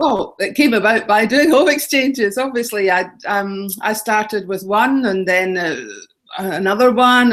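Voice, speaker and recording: A woman's fairly high voice in a Scottish accent, fairly slow, with ordinary pitch variation. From Scotland. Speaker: travel blogger and author. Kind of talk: interview.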